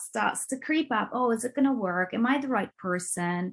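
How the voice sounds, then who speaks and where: A woman with a Turkish accent, fairly high-pitched and somewhat breathy, with lively intonation. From Turkey. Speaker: business coach and entrepreneur. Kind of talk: interview.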